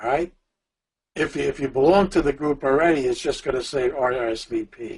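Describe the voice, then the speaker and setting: A man with a fairly high pitch talks at a fairly quick pace, his voice somewhat breathy and his pitch variation ordinary. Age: 70s. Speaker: business coach. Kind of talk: webinar tutorial. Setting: online webinar. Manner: halting.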